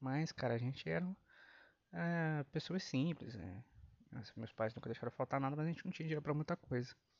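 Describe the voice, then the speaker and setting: A man with a normal speaking voice talks at a fairly quick pace and fairly high pitch, with lively intonation. The sound is dry and close with no echo, against a quiet background. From Brazil. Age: 30s. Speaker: podcast host. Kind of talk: casual monologue.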